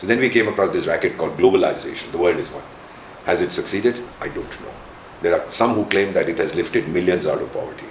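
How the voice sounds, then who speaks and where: Talking at a very fast pace, a man is heard over noticeable background noise. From India. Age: 70s. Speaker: retired diplomat. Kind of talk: interview. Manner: animated.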